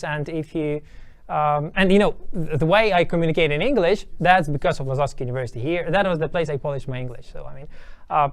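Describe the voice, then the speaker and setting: With a Ukrainian accent, a man with a fairly high pitch talks at a very fast pace. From Ukraine, small town. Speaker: university lecturer and researcher. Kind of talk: interview. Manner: hesitant, many fillers.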